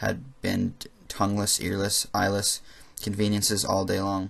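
A man talks at a fairly slow pace. His loudness stays very even. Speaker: amateur audiobook reader. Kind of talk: reading aloud. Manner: monotone; halting.

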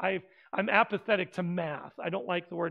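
The man's tone comes across bright and sharp. He talks at a fairly quick pace. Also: quiet background. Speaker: preacher. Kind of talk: sermon. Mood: humorous, light-hearted. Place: church. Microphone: headset.

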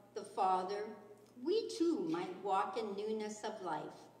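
A woman talks very slowly, and the room around her has audible echo. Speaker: scripture reader. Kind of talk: scripture reading. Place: church. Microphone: podium.

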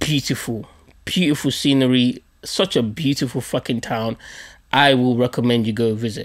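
Over a quiet background, a man with a London accent speaks in an animated tone. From Nigerian heritage, London. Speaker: podcast host. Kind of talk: storytelling monologue. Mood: humorous, joking. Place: home room. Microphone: studio mic.

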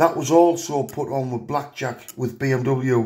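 Against a quiet background, a somewhat breathy man with a fairly high pitch and a dark, mellow tone talks at a fairly slow pace with ordinary pitch variation. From England. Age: 50s. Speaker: car enthusiast youtuber. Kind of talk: tutorial. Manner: hesitant with many fillers. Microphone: phone near.

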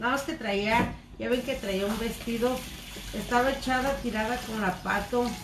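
A woman with a Mexican accent speaks at a fairly slow pace and a fairly high pitch, with fairly even intonation. Noticeable background noise is present. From Mexico. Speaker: cooking vlogger. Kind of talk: live stream cooking chat. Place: kitchen. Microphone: phone near.

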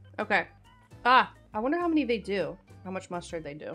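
Faint music plays in the background as a woman speaks at a fairly quick pace. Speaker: streamer. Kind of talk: casual live stream chat. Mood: playful, mildly disgusted. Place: home room. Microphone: studio mic.

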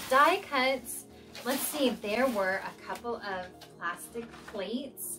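A woman's very slow speech with clear music in the background. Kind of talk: casual vlog chat. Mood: excited, cheerful. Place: home room.

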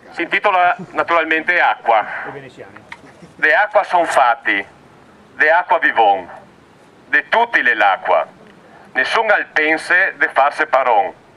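Very even in loudness, a man with a Venetian accent talks at a fairly slow pace with long, frequent pauses. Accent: Belluno dialect. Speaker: activist poet. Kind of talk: poetry reading. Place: open country.

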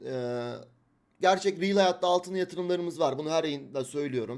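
A man speaks at a moderate pace, his tone animated and his intonation lively. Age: 20s. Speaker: crypto trader and livestream host. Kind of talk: livestream market analysis.

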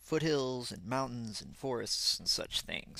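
With a bright, sharp tone and noticeable vocal fry, a man speaks at a moderate pace. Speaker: ant-keeping hobbyist. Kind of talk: narrated photo slideshow. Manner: casual, hesitant with many fillers.

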